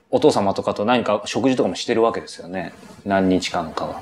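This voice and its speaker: The speech moves at a fairly quick pace. Noticeable background noise sits underneath. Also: man. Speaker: professional interviewer. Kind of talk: interview. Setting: interview in company office.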